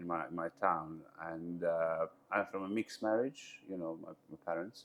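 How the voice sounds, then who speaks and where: A man with a Bosnian accent, speaking at a fairly slow pace. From Bosnia, Mostar. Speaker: entrepreneur. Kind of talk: interview. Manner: halting, with many fillers.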